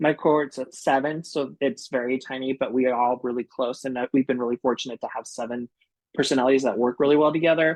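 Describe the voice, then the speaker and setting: A man with an American accent and a normal speaking voice, medium in pitch, at a fairly quick pace with fairly even intonation, in a dry, close sound with no echo. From United States. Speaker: graduate student. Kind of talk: panel talk on video call.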